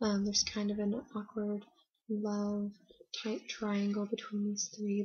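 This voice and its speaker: A soft-spoken woman talks at a fairly slow pace. Her pitch sits in the middle range. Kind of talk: soft-spoken ASMR manga review.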